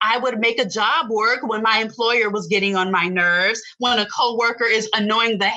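A woman has an unremarkable speaking voice pitched fairly high. Her pitch varies in an ordinary way. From Tampa, Florida. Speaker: video strategist and entrepreneur. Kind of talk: casual interview chat.

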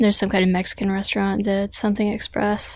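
A woman talks quietly at a moderate pace. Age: 30s. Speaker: podcast co-host. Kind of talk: casual chat.

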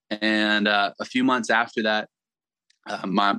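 Fairly low in pitch, a man speaks at a very slow pace with monotone, flat intonation, in a dry, close sound with no echo. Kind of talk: casual interview, storytelling.

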